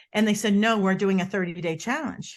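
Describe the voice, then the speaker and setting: Against a quiet background, a woman with a Boston accent talks at a very fast pace and a medium pitch. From US Northeast, Boston. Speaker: body language expert. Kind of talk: interview. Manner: animated.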